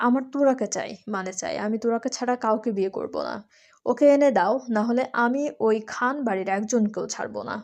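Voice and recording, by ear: A natural voice reads the passage aloud. Its pitch shifts in an ordinary way.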